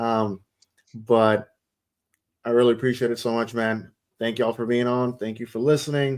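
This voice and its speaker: A man's medium-pitched voice at a moderate pace, flat and monotone in intonation. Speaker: soccer podcast host. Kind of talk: casual chat. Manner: mumbling.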